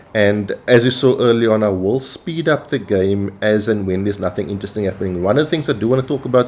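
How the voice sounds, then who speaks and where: A man speaks in a South African accent at a fairly quick pace. His pitch is fairly low, and he hardly pauses at all. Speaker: gaming YouTuber. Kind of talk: gameplay commentary. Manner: casual with frequent fillers.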